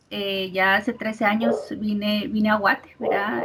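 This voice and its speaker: A woman with a fairly high voice is heard over noticeable background noise. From Mexico. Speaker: industrial psychologist and recruiter. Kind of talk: interview. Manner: hesitant, many filler words.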